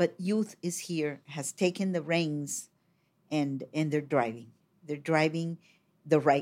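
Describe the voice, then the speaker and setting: Speaking very slowly in a Colombian accent, a woman uses a very deep, low pitch with ordinary pitch variation and big swings in loudness. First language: Spanish. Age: 60s. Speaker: poet, filmmaker and regional editor. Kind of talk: casual interview conversation. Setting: studio.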